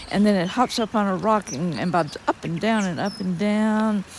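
A woman with an unremarkable speaking voice talks at a moderate pace in a medium pitch with ordinary pitch variation. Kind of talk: outdoor nature commentary. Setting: outdoors.

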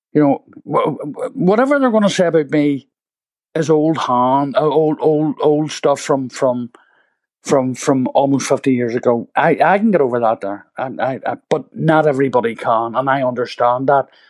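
A man with a Belfast accent, fairly high in pitch, with ordinary pitch variation and a moderate pace, in a dry, close sound with no echo. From Northern Ireland, east Belfast. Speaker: playwright and former prisoner. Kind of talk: interview. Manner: halting.

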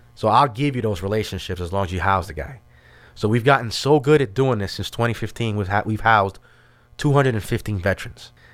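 A man's fairly low voice with a New York accent, very fast pace and ordinary pitch variation, on a very clean recording with a silent background. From New York City, Brooklyn. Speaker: army veteran, veteran services leader. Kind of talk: casual interview.

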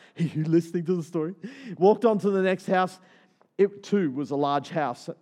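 A natural voice reads the text aloud. Its pitch shifts in an ordinary way.

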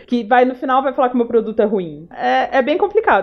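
A woman talks fairly quickly, with noticeable noise behind her. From Paraná, Brazil. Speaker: UX designer. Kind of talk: casual chat.

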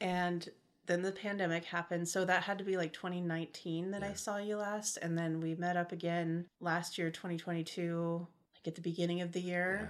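In an American accent, a woman speaks at a moderate pace with a fairly low pitch and monotone, flat intonation. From California, Modesto area. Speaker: podcast co-host. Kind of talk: casual chat.

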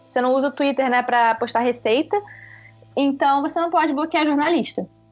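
Ordinary pitch variation at a fairly quick pace. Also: woman. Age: 20s. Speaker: journalist. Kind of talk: interview.

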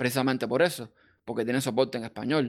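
With ordinary pitch variation, the man talks in a fairly high voice. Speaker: server administrator. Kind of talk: casual chat.

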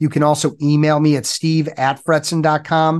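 A man with a fairly high pitch talks at a moderate pace in an unremarkable speaking voice over a quiet background. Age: 50s. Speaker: business coach for lawyers. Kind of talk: interview.

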